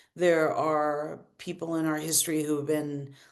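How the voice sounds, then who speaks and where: Audible room echo surrounds a woman with a very deep, low voice speaking at a moderate pace. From US South (Arkansas), born in Brazil. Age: 50s. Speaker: queer elder artist and musician. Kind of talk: panel discussion. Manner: halting, many repetitions and fillers.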